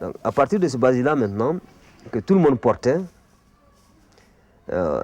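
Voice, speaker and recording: Against noticeable background noise, yet with a dry, close sound and no echo, a man with a fairly high pitch talks at a moderate pace, using very wide pitch swings and long, frequent pauses. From Mali. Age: 50s. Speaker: art teacher and bogolan artist. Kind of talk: explanatory talk.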